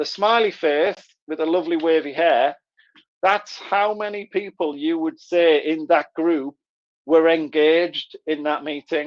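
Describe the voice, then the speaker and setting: This man speaks with a Middlesbrough accent at a fairly high pitch and a fairly slow pace. His intonation stays fairly even. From northern England, Middlesbrough. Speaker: author and engagement consultant. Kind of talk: webinar presentation. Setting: online webinar.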